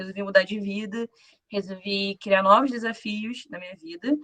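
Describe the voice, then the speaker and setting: The woman's voice has a bright, sharp tone. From Rio de Janeiro, Brazil. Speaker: former bootcamp student, programmer. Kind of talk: self-introduction on a live panel.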